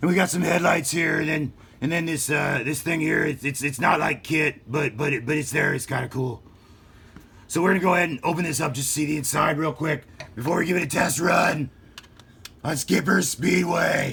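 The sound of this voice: A man puts on a character voice, raspy and gravelly, pitched fairly high for a man. He talks at a fairly quick pace with ordinary pitch variation.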